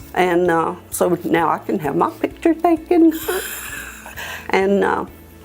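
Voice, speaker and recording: Music plays in the background. Over it, a woman talks at a very slow pace. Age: 60s. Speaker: dental patient. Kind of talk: testimony. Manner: hesitant, many fillers.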